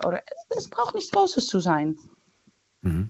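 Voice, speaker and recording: In a Dutch accent, a woman talks at a very slow pace. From Netherlands. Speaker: caller. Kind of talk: phone-in conversation. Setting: phone call.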